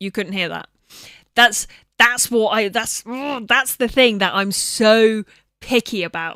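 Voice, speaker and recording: On a very clean recording with a silent background and a dry, close sound with no echo, a woman mumbles at a fairly slow pace in a bright, sharp tone with a fairly high pitch. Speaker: video game streamer. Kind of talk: casual live stream chat. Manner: mumbling.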